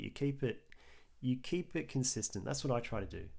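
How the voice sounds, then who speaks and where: A man in an Australian accent at a fairly quick pace. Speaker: artist livestreamer. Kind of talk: casual live stream chat while drawing.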